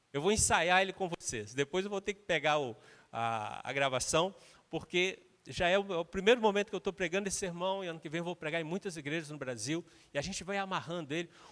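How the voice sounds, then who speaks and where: In a Minas Gerais accent, a high-voiced man speaks very fast with lively intonation, recorded very cleanly with a silent background and a dry, close sound with no echo. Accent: Brazilian Portuguese, mineiro. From Minas Gerais, Brazil. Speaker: guest preacher, missions leader. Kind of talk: sermon.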